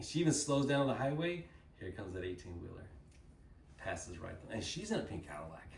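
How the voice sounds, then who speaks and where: Against noticeable background noise and audible room echo, a man with an American accent speaks very fast in an animated tone at a medium pitch, with very wide pitch swings, big swings in loudness, and long, frequent pauses. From Texas, Dallas. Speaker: company speaker at a sales event. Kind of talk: motivational talk to an audience.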